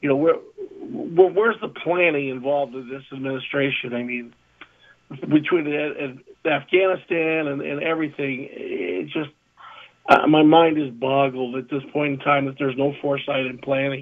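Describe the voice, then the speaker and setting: A man with an American accent talks in an unremarkable speaking voice, fairly high in pitch, at a moderate pace with ordinary pitch variation and big swings in loudness. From Southern California. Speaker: sports talk co-host. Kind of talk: casual chat.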